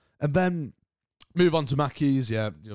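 In a British accent with ordinary pitch variation, this voice comes through a very clean recording with a silent background and a dry, close sound with no echo. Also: man. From Britain. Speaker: podcast host. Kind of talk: casual solo chat. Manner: animated.

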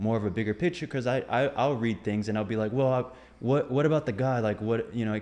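A man with a normal speaking voice and fairly even intonation against a quiet background. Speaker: podcast co-host. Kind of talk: casual chat.

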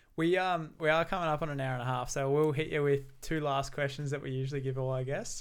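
A man with an Australian accent speaks at a very fast pace with hardly any pauses. His pitch is fairly high and his intonation fairly even. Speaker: podcast host. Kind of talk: casual interview chat.

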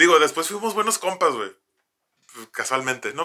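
Delivered at a fairly quick pace, the talking carries lively intonation. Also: man. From Mexico, Tijuana. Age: 30s. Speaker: podcast host. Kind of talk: casual storytelling chat. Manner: animated, slangy with fillers.

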